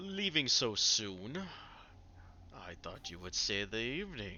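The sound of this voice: In a put-on character voice, a man booms at a medium pitch and a fairly slow pace, with very wide pitch swings and big swings in loudness. Clear background noise is present.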